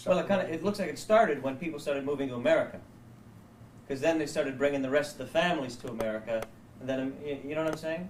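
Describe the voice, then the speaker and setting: A man's fairly high voice at a very fast pace, ordinary pitch variation, noticeable background noise behind it. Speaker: grandson filming family video. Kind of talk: casual family conversation.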